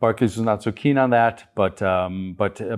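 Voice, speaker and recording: An ordinary speaking voice, a man at a medium pitch with an American accent, moderate pace, ordinary pitch variation, and a quiet background. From US Midwest, Chicago. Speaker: business founder. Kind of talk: interview.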